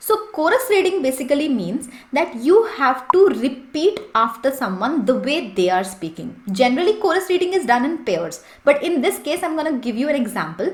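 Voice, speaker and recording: A woman with a high voice swings her pitch very widely and hardly pauses at all. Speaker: English and interview-prep coach. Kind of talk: tutorial. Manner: fast.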